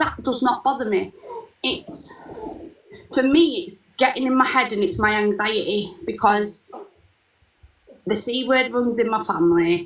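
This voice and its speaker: A woman with a northern English accent speaks fairly slowly at a fairly high pitch with lively intonation and long, frequent pauses. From northern England, Lancashire. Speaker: caller. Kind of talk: casual chat.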